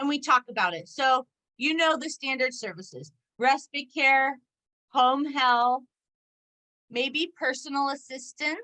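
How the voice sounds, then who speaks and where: A woman with an American accent speaks in a raised, projected voice that is high-pitched, bright and sharp. Her pace is fairly slow, with long, frequent pauses and ordinary pitch variation. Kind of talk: presentation to parent support group.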